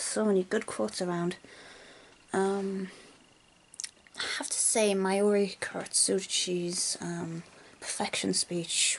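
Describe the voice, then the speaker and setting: Speech at a fairly slow pace, noticeable background noise beneath it. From North East England. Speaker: university student. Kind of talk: casual talk to camera.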